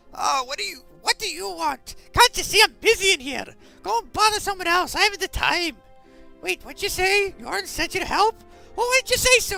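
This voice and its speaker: With faint music in the background, a gruff, put-on character voice at an extremely high pitch speaks at a moderate pace. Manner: annoying, gruff, impatient.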